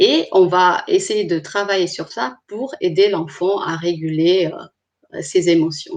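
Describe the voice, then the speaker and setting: A woman with a non-native accent at a very slow pace, with ordinary pitch variation. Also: medium pitch for a woman. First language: not French (speaking French). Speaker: clinical psychologist. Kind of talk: online presentation. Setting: live stream. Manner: hesitant, with frequent fillers.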